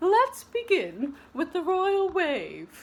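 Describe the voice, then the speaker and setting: An extremely high-pitched, female-sounding put-on character voice. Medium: read story. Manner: prim, proper.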